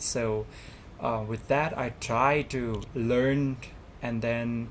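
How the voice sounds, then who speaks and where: A very slow pace in a Thai accent. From Thailand. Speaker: student representative. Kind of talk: interview. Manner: halting.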